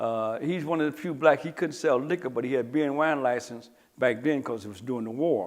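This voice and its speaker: With an American accent, a man uses an ordinary speaking voice at a medium pitch and ordinary pitch variation. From Detroit, Michigan. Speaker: former crime figure interviewee. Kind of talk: interview recollection.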